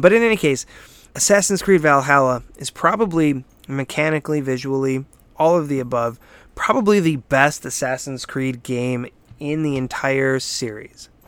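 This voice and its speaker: Recorded very cleanly against a silent background, a man with an unremarkable speaking voice talks at a moderate pace, fairly high in pitch with ordinary pitch variation. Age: 30s. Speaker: podcast host, gaming site owner. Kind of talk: casual solo review podcast. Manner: casual, with frequent fillers and repetitions.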